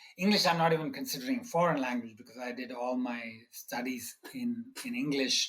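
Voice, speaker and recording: A man talks at a fairly quick pace in a fairly high voice. His pitch swings very widely, and his loudness rises and falls sharply. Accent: Tamil. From India (Bombay, South Indian family). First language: Tamil. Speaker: economics professor. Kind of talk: interview. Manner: halting, many fillers.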